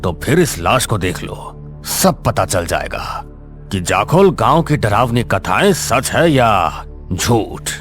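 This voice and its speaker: A man performs a put-on character voice with clear music in the background. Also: medium pitch for a man, moderate pace. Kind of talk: horror story narration. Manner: grave, menacing.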